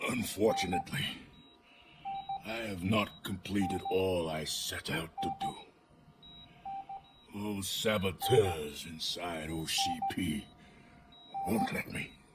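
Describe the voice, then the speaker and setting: A man in a put-on character voice speaks at a fairly slow pace with a fairly low pitch, leaving long, frequent pauses. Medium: video game. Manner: shaky, dramatic.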